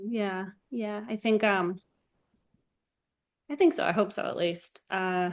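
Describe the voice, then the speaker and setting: A woman at a medium pitch with ordinary pitch variation, a very slow pace and long, frequent pauses, over a quiet background. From New Zealand. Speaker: filmmaker. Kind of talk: interview.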